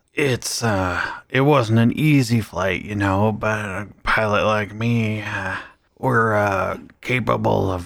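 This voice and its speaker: A put-on character voice comes out raspy, with fairly even intonation. The pace is very slow. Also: man, fairly low pitch for a man. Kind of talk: comic overacting. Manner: boastful, rambling, then petulant and muttering.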